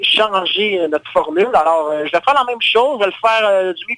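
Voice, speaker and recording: At a fairly quick pace, a man speaks with a high pitch and lively intonation. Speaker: singer-songwriter. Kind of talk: interview. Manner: animated.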